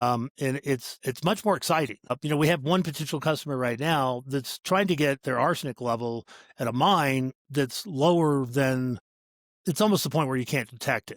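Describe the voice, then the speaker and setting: An unremarkable speaking voice comes from a man at a fairly high pitch with ordinary pitch variation, sounding dry and close with no echo on a very clean recording with a silent background. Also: moderate pace. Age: 60s. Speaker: startup CEO. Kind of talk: podcast interview. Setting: call.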